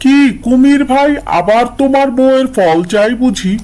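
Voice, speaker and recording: Over light background noise, a man uses a cartoonish character voice at an extremely high pitch, speaking at a moderate pace with ordinary pitch variation. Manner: coaxing.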